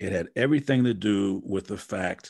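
A man with an American accent speaks in a normal speaking voice at a moderate pace, fairly low in pitch with ordinary pitch variation. The background is quiet. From Wisconsin. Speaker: motivational speaker and coach. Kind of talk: casual interview.

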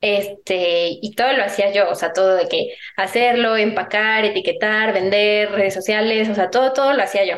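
In a plain, everyday voice, a woman speaks at a moderate pace with hardly any pauses, a fairly high pitch and fairly even intonation. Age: 20s. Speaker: entrepreneur. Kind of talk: interview conversation.

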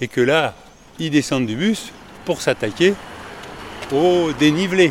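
Noticeable background noise sits behind a man speaking at a very slow pace. His intonation is lively. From Paris. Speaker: podcaster walking a pilgrimage route. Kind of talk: travel audio diary. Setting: outdoors walking.

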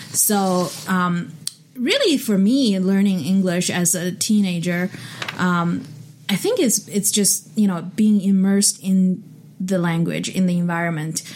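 A woman with a Chinese accent speaks at a fairly slow pace, her loudness very even and her intonation fairly even. Background noise is noticeable. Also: medium pitch for a woman. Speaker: podcast host. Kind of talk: casual chat. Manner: hesitant, fillers.

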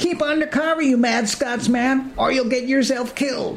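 The man's pitch is extremely high. He talks at a moderate pace. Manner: folksy, blunt.

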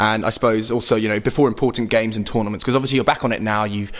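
Over noticeable background noise, a man with a fairly low pitch speaks very fast in a flat, monotone way. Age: 20s. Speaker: podcast host. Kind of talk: interview.

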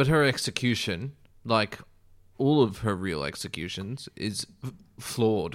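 A man at a fairly slow pace with lively intonation, on a very clean recording with a silent background. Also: medium pitch for a man. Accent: Australian. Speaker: actor. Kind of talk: casual chat.

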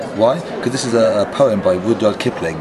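A man rattles off his words very quickly while clear background noise runs underneath. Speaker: conference speaker and agile practitioner. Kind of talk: casual interview. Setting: conference venue.

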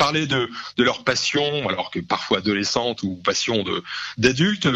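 His pitch makes very wide swings. The voice belongs to a man. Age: 40s. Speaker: comic book and music writer. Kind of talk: radio interview. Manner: halting, many repetitions and fillers.

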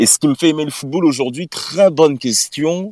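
Moderately paced speech from a man, recorded dry and close with no echo. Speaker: podcast contributor, football fan. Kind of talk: casual chat.

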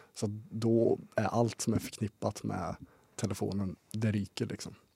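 The recording has a dry, close sound with no echo. A man speaks with a fairly low pitch and a dark, mellow tone. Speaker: student podcast guest. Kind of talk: casual chat.

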